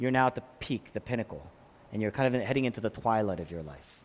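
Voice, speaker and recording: A man talking at a fairly quick pace. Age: 40s. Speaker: pastor. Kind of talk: sermon.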